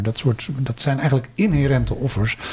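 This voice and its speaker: Ordinary pitch variation marks this man's fairly quick speech. Noticeable background noise can be heard along with it. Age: 50s. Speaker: career counselling lecturer and researcher. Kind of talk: casual interview.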